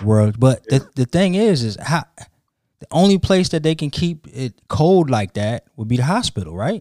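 This man's pitch is fairly high and swings very widely as he talks at a moderate pace with hardly any pauses. The sound is dry and close, with no echo. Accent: American. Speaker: podcast host. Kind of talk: casual banter between co-hosts.

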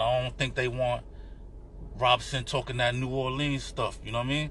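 A man speaks at a fairly quick pace. He has a New York accent. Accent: New York City, urban. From New York City. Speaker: podcast guest, Knicks fan. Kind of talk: casual banter about basketball.

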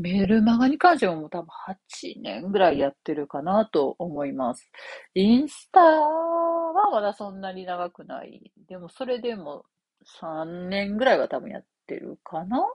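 At a fairly slow pace, a woman of medium pitch speaks with very wide pitch swings and big swings in loudness. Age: 40s. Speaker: copywriter and podcast host. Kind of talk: casual solo talk. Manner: many fillers, conversational.

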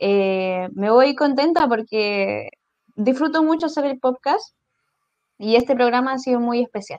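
A woman talks in a normal speaking voice. Her pace is fairly slow, and her pitch variation is ordinary. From southern Chile. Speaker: podcast co-host. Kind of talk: casual chat.

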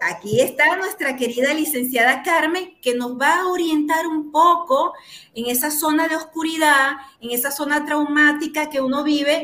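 A woman with a Venezuelan accent speaks in a raised, projected voice at a high pitch with a bright, sharp tone, ordinary pitch variation and a moderate pace, with audible room echo. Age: 40s. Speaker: therapist and show host. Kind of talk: talk show interview. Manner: animated.

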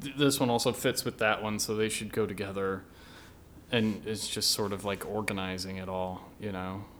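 Using an unremarkable speaking voice, a man with an American accent talks at a moderate pace and a fairly low pitch with fairly even intonation. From US South, Meridian, Mississippi. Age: 30s. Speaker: musician. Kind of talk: casual chat. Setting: studio.

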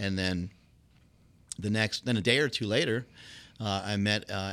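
An ordinary speaking voice with fairly even intonation at a moderate pace, in a very clean recording with a silent background. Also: man. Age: 40s. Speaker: former champion powerlifter and fitness entrepreneur. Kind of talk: casual interview conversation.

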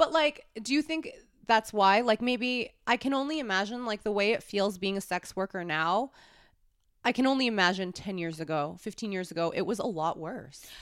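A woman with a fairly high pitch talks at a moderate pace with lively intonation. It is an unremarkable speaking voice, on a very clean recording with a silent background. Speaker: podcast host and adult film performer. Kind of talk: casual chat. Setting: studio.

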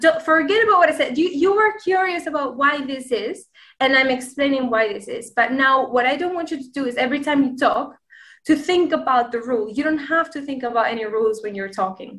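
A woman's high-pitched voice with lively intonation, at a fairly quick pace. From Spain, Granada. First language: Spanish. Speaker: language learner and content creator. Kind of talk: interview.

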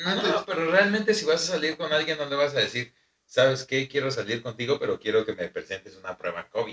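A man talks at a very fast pace in a fairly high voice. His intonation is lively. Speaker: podcast co-host, amateur rapper. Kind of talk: casual chat.

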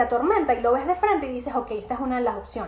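Speaking at a very fast pace, a woman with a Venezuelan accent uses an animated tone. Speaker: podcast host and emotional wellbeing coach. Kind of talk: live Q&A chat.

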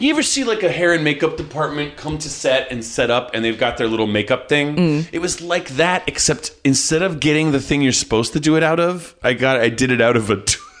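Talking at a very fast pace with hardly any pauses, a man with an American accent speaks over noticeable background noise. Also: fairly high pitch for a man, ordinary pitch variation. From Los Angeles, US. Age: 30s. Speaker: comedian. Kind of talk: casual chat. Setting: Edinburgh Fringe.

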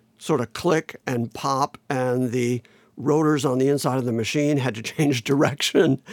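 An unremarkable speaking voice at a moderate pace with fairly even intonation, on a very clean recording with a silent background and a dry, close sound with no echo. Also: man. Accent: American. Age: 60s. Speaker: musician. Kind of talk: casual chat.

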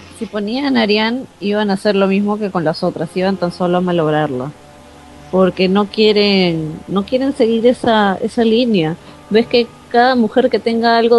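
Over music in the background, a woman speaks at a fairly slow pace with medium pitch and ordinary pitch variation. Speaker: TV series fan panelist. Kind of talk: casual chat.

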